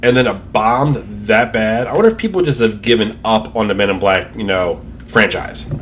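A man speaks loudly in a fairly low voice with ordinary pitch variation. His pace is moderate with hardly any pauses, and there is noticeable background noise. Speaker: podcast co-host. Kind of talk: casual chat.

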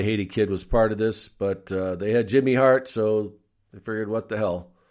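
An ordinary speaking voice, a man's fairly low delivery at a moderate pace with ordinary pitch variation, in a very clean recording with a silent background. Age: 60s. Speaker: wrestling podcast host, former wrestling interviewer. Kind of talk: casual watch-along commentary. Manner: relaxed, many filler words.

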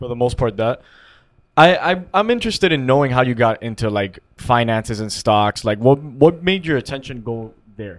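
Featuring an ordinary speaking voice, a man of medium pitch speaks at a moderate pace with lively intonation. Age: 20s. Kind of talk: casual chat.

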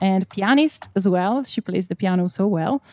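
Speaking at a fairly slow pace, a woman has an Italian accent and a medium pitch. The recording is very clean with a silent background. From Italy. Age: 20s. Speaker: singer-songwriter. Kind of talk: casual chat.

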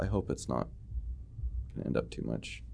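Vocal fry and very wide pitch swings in a man's speech. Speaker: podcast host discussing horror movies. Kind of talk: casual chat, ranking favorite horror movies.

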